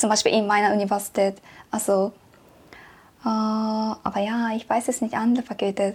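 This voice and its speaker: In a Japanese accent, a woman with a fairly high pitch and a somewhat breathy voice talks at a moderate pace in a flat monotone, leaving long, frequent pauses. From Japan, Tokyo. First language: Japanese (speaking German). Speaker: exchange student. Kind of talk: interview. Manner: halting.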